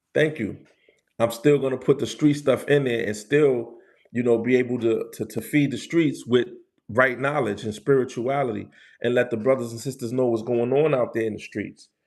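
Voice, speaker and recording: In a New York accent, a man speaks at a moderate pace and medium pitch with fairly even intonation against a quiet background. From New York City, the Bronx. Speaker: street culture and spirituality livestreamer. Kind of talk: casual livestream chat.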